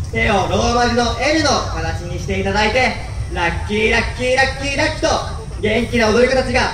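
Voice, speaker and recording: A man talks at a fairly quick pace in a raised, projected voice, with ordinary pitch variation. Light background noise and audible room echo sit behind him. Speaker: dance team MC. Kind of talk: MC announcement and performance call. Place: street.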